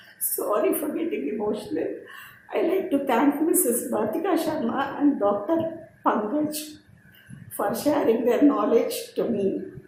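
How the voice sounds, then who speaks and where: At a fairly slow pace, a woman with a high pitch and very wide pitch swings is heard in audible room echo over noticeable background noise. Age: 60s. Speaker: personal development speaker. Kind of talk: personal testimony presentation.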